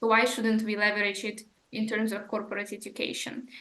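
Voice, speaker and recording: With a non-native accent, a woman talks at a fairly high pitch while audible room echo surrounds her. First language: not English. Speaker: podcast host. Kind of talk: podcast interview.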